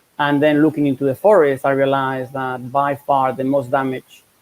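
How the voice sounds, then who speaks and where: Speaking with a Spanish accent, a man talks at a moderate pace and a medium pitch in a dry, close sound with no echo. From Spain. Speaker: professor. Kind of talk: interview.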